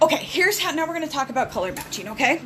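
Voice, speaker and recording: Audible room echo and noticeable background noise surround a woman speaking with lively intonation. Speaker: makeup seller. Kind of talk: tutorial.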